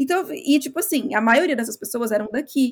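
A woman speaking at a fairly quick pace. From Brazil. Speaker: podcast co-host, marketing worker. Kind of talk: casual chat.

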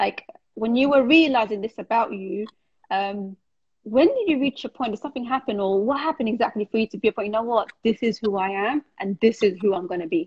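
Somewhat breathy, a woman talks at a fairly quick pace and fairly high pitch with ordinary pitch variation. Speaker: podcast host. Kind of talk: casual interview, live stream. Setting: video call, live stream.

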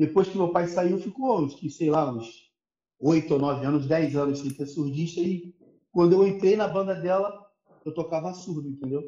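A man's high-pitched voice with ordinary pitch variation, at a moderate pace. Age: 30s. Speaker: percussionist. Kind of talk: casual chat.

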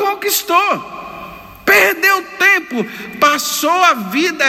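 With audible room echo and noticeable background noise behind him, a man speaks in a raised, projected voice. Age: 50s. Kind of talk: homily. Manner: animated.

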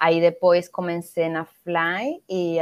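A woman's fairly low voice with a Spanish accent. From Venezuela. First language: Spanish (speaking Portuguese). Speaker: NGO founder, educator. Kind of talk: interview.

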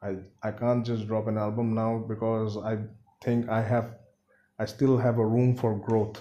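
A man's medium-pitched voice, dark and mellow in tone, with monotone, flat intonation and long, frequent pauses. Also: moderate pace. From India, Siliguri (West Bengal). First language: Bengali. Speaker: rapper. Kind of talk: casual interview chat. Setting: at home.

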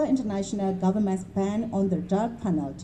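This woman has a plain, everyday voice. Her pitch is medium, with ordinary variation. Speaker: rally organizer. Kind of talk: rally speech, formal statement read aloud to a crowd. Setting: outdoor rally, public gathering. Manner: formal, solemn, measured; earnest, firm, condemnatory.

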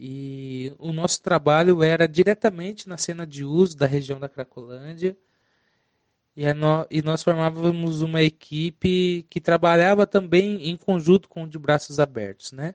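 A man with a plain, everyday voice speaks at a fairly slow pace and a fairly high pitch, using ordinary pitch variation. The sound is dry and close with no echo, and the loudness swings widely. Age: 20s. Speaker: harm reduction worker. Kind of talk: testimony.

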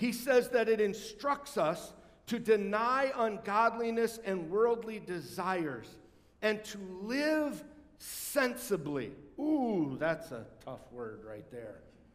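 Speaking very slowly at a high pitch, a man swings widely in loudness while audible room echo surrounds him. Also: lively intonation. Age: 50s. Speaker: pastor. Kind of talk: sermon. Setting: church.

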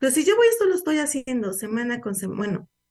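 Someone speaks with a Mexican accent against a quiet background. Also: woman. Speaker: radio host, social security advisor. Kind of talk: educational radio talk. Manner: conversational, informal.

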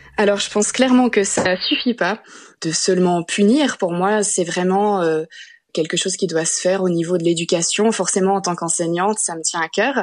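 A woman talks at a moderate pace and medium pitch. Her pitch varies in an ordinary way, and the background is quiet. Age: 20s. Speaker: teacher and anti-harassment activist. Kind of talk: interview. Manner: hesitant with fillers.

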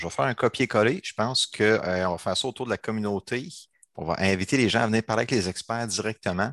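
A man's medium-pitched voice at a very fast pace, with ordinary pitch variation, a quiet background and a dry, close sound with no echo. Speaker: agile coach and trainer. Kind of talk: casual chat. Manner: animated.

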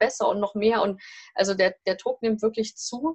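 With a somewhat breathy quality, a woman talks in a fairly high voice. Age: 40s. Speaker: family and career coach. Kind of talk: interview. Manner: hesitant, many filler sounds.

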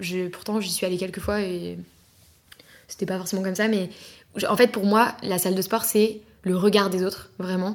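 A woman's medium-pitched voice, monotone and flat, at a moderate pace with long, frequent pauses. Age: 20s. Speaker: podcast guest. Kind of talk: casual chat.

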